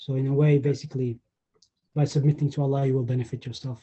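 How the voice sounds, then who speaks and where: There is a somewhat breathy quality to this man's medium-pitched voice. He speaks fairly quickly. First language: not English. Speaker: group participant. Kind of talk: online group discussion. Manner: halting, stammering.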